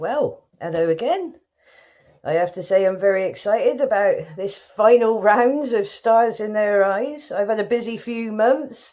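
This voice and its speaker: With a West Country accent, a woman speaks fairly slowly in a fairly high pitch and a dark, mellow tone. Her intonation is lively, and the background is quiet. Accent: West Country, exaggerated for comic effect. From rural West Country, England. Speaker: talent show contestant. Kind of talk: comic monologue.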